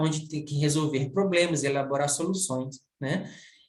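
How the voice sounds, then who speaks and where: The speaker talks at a moderate pace, with audible room echo. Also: man. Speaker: university professor. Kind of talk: recorded video lecture. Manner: halting, many fillers.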